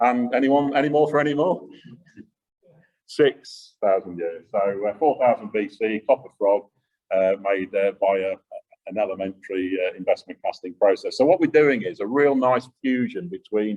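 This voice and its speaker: A man with a Yorkshire accent, in a dry, close sound with no echo. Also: moderate pace. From Yorkshire, England. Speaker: engineering company executive. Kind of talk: Q&A answers; lecture. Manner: loud.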